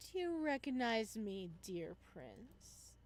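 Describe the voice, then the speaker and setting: Someone performs a put-on character voice at a very slow pace. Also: woman, medium pitch for a woman. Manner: chilling whisper.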